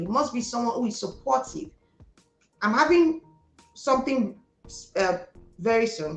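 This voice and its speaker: A fairly high-pitched woman with a Nigerian accent, animated in tone and lively in intonation at a moderate pace, with music in the background. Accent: Igbo Nigerian. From Nigeria, Delta State (Igbo). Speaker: entrepreneur. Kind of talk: interview.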